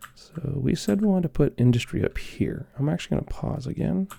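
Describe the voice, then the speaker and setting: A soft-spoken voice talking at a moderate pace. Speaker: ASMR gaming creator. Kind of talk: ASMR gameplay commentary.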